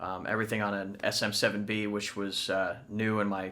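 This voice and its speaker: A man speaks in a bright, sharp tone at fairly low pitch. His intonation is monotone and flat, and his pace is moderate. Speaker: rock band lead singer. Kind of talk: behind-the-scenes interview. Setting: home recording studio.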